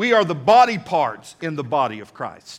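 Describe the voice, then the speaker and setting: A man speaks in a high pitch with a Texan accent. His intonation is lively. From Texas. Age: 50s. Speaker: pastor. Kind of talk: sermon. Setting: church. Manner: animated.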